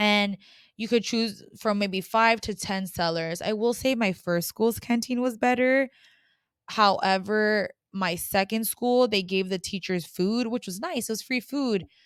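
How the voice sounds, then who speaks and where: With an American accent and an animated tone, a woman talks fairly slowly at a medium pitch with ordinary pitch variation, in a very clean recording with a silent background. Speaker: former English teacher abroad, podcaster. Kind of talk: casual advice monologue. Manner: loud.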